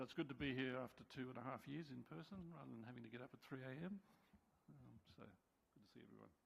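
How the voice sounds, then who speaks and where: Speaking very fast with an Australian accent, a man uses lively intonation at a medium pitch. His voice has vocal fry and big swings in loudness. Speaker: subcommittee chair on an advisory board. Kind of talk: committee report presentation. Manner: hesitant, many fillers.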